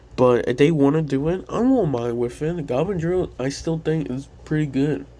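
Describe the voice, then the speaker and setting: The voice is quiet, with a dark, mellow tone. It moves at a moderate pace. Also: man, fairly high pitch for a man, ordinary pitch variation. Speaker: gaming YouTuber. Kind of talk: casual commentary. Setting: home at night. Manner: quiet, held-down voice. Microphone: poor audio.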